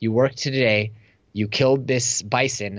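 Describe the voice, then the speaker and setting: An ordinary speaking voice with an American accent, at a moderate pace and fairly even intonation. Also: man. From US, Silicon Valley. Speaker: entrepreneur and online course instructor. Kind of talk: interview conversation.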